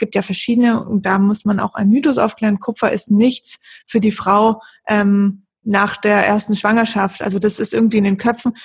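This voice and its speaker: A woman's fairly high, somewhat breathy voice holds a monotone, flat intonation and very even loudness at a moderate pace. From Lake Constance region, southern Germany. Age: 30s. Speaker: blogger on women's health. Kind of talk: podcast interview.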